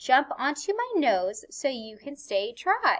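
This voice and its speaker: A woman puts on a character voice, pitched high. She talks at a fairly slow pace with very wide pitch swings. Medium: read story. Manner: smooth, coaxing.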